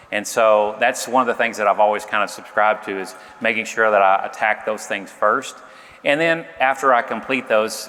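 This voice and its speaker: Speaking with a Southern US accent, a man keeps a moderate pace, a fairly low pitch and fairly even intonation. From Arkansas. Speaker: sales executive, panelist. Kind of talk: panel discussion.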